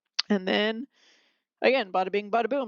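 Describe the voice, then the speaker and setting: The sound is dry and close with no echo as a woman speaks with fairly even intonation. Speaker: math teacher. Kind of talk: recorded lesson. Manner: fast; casual with fillers.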